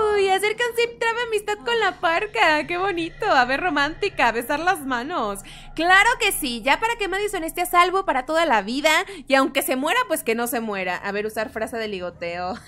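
Her raised, projected voice sits at an extremely high pitch and swings very widely up and down. The woman keeps a moderate pace. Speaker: gaming YouTuber. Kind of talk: gameplay commentary. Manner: loud; animated.

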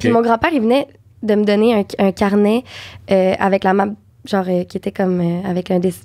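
Against a quiet background, a woman speaks fairly quickly at medium pitch with a dark, mellow tone. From Quebec. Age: young. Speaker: actress and dubbing voice actor. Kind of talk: podcast interview answer. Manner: casual, chatty. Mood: relaxed, warm storytelling. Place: studio. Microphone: studio mic.

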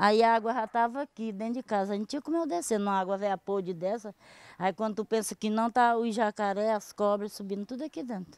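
A woman with an unremarkable speaking voice and a fairly high pitch talks fairly quickly on a very clean recording with a silent background. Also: ordinary pitch variation, dry, close sound with no echo. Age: 60s. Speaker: local resident. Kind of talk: news interview.

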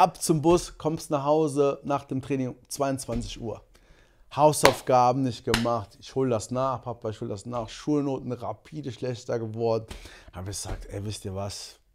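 A man's loudness rises and falls sharply while noticeable background noise carries on behind him. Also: medium pitch for a man, ordinary pitch variation, moderate pace. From Germany, Monheim (Rhineland); born in Angola; Germany. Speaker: sprinter; podcast guest. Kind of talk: casual chat. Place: studio. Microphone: studio mic.

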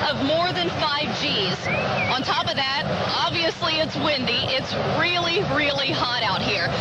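A woman at a fairly slow pace, dry sound with no echo, crowd noise in the background. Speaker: TV race show host. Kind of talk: broadcast presenting. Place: stadium. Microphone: handheld.

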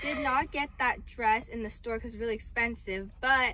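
A woman with a high pitch speaks at a moderate pace with fairly even intonation, the sound dry with no echo. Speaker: vlogger showing her purchases. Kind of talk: casual vlog chat. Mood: cheerful, relaxed. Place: car. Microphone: phone near.

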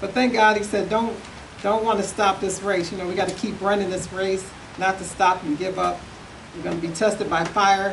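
A woman speaks at a moderate pace with monotone, flat intonation over noticeable background noise. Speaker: evangelist. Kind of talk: testimony. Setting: church. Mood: fervent, encouraging. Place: church. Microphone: podium.

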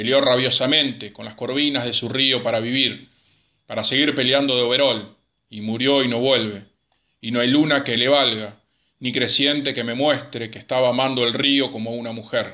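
Here a man speaks at a medium pitch in a solemn tone. His intonation is monotone and flat. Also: moderate pace. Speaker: amateur poetry reader. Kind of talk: poetry reading, read aloud. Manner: solemn, measured, melancholic.

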